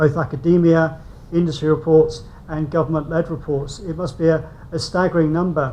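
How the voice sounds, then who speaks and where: A man with a British accent at a fairly quick pace, with audible room echo. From UK. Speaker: invited speaker on construction policy. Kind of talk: conference presentation.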